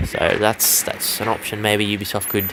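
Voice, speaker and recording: A man speaks in a fairly low voice with an Australian accent. Noticeable background noise runs under him. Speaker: gaming YouTuber. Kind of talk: gameplay commentary. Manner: casual.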